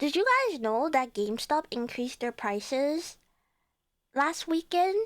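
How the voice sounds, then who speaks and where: A woman speaks at a fairly slow pace with a Cantonese accent, on a very clean recording with a silent background. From Chinese background. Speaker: VTuber streamer. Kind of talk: casual chat. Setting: live stream. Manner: animated.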